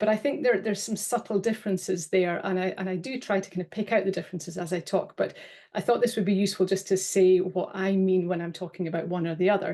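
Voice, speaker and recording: A woman with a British accent speaks at a very fast clip with hardly any pauses, her medium-pitched voice dark and mellow against a quiet background. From UK. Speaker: data protection officer. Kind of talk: webinar presentation. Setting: online webinar. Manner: hesitant, with fillers and repeats.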